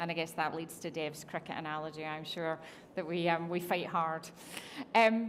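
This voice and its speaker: A woman talks with a Scottish accent and fairly even intonation. Audible room echo surrounds her voice. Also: fairly low pitch for a woman, moderate pace. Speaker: technology executive. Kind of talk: on-stage interview. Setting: conference stage with audience.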